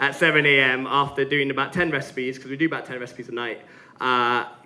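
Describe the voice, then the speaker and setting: A fairly high-pitched man with audible room echo and noticeable background noise. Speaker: gin brand founder giving a tasting talk. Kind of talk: live presentation at a tasting session. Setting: stage with audience. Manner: fast; animated.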